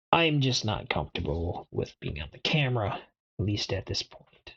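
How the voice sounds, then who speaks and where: This soft-spoken voice moves along at a moderate pace. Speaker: IT learner streaming lab practice. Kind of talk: tutorial. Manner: quiet.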